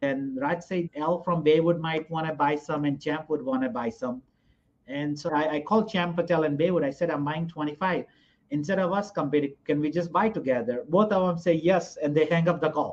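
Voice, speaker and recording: Speaking at a fairly quick pace, a man with a Gujarati accent uses a fairly high pitch. His pitch varies in an ordinary way. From India (Gujarat). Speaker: hotel investor. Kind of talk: interview.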